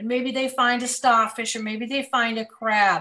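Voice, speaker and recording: A woman's fairly high voice at a moderate pace. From central Massachusetts. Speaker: children's author and illustrator. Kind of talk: casual interview. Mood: warm, enthusiastic. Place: home room. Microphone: video call.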